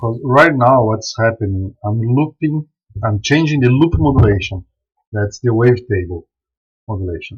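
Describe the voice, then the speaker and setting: A somewhat breathy man with a non-native accent, medium pitch, lively intonation and a moderate pace. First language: not English. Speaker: software developer and live streamer. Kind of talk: live stream software demo. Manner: casual, halting with repetitions.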